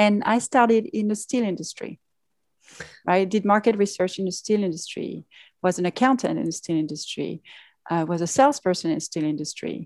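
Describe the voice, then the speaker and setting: A woman with a French accent speaks at a fairly quick pace and a medium pitch, her intonation lively. The sound is dry and close with no echo, over a quiet background. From France. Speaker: pharmaceutical executive. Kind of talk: interview. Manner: hesitant, many fillers.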